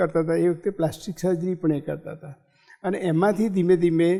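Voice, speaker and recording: A man speaks in a high pitch with a dark, mellow tone. His intonation stays fairly even. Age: 70s. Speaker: gynecologist surgeon. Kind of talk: interview.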